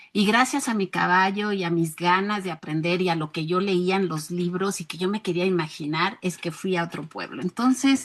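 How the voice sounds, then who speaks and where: The speech runs on with hardly any pauses and ordinary pitch variation. Noticeable background noise sits under it. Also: woman, medium pitch for a woman, moderate pace. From rural Mexico. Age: 60s. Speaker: educator. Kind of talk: interview.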